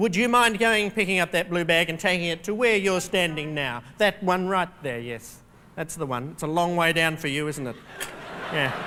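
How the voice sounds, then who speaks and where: A man speaks with an Australian accent at a moderate pace. His voice is high in pitch, with ordinary pitch variation. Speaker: keynote speaker. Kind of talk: keynote speech. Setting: stage with audience. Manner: humorous, interactive with audience.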